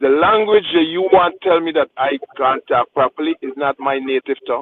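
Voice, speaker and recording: In a Guyanese accent, a man speaks with a passionate tone at a fairly high pitch, with ordinary pitch variation and a moderate pace. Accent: Guyanese Creole, drops th sound. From Guyana. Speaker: radio show panelist. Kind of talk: radio panel discussion. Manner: passionate, emphatic.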